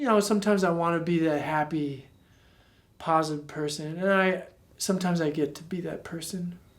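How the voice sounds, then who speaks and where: Audible room echo surrounds a man who speaks high in pitch at a fairly quick pace with fairly even intonation. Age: 30s. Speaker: street performer. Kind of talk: documentary interview.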